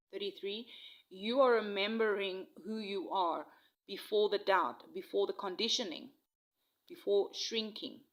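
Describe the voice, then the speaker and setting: Her voice fairly high, a woman talks at a fairly slow pace with lively intonation. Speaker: tarot and oracle reader. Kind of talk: intuitive spiritual reading. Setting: outdoors in nature. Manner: halting, with frequent fillers.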